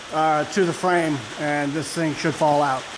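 A man speaks over noticeable background noise. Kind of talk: tutorial. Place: garage. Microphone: phone near.

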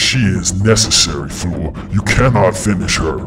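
In a put-on character voice with very deep, low pitch, a man talks at a moderate pace over loud background noise. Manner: commanding, menacing.

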